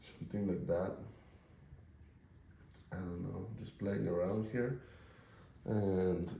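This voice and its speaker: A man speaks at a very slow pace in a very deep, low voice with a dark, mellow tone, somewhat breathy, with ordinary pitch variation and long, frequent pauses. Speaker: painter. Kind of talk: casual talk while painting.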